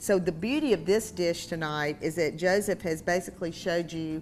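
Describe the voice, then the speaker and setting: A woman in a strong Southern accent, fairly low-pitched with ordinary pitch variation, at a moderate pace with music in the background. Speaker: cooking show host. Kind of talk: cooking show chat.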